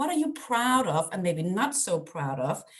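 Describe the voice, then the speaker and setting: A woman speaks with a Danish accent at a fairly high pitch. Her pace is moderate, and vocal fry shows up. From Denmark. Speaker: parenting coach. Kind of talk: webinar presentation; guided breathing exercise. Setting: video call.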